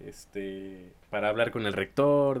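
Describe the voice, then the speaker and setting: A man with a slight northern Mexican accent. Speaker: podcast co-host, university student. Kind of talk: casual chat.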